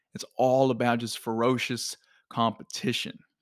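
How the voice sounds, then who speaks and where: A man's medium-pitched voice in a very clean recording with a silent background. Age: 20s. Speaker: podcast host and fitness coaching CEO. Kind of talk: motivational monologue. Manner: energetic.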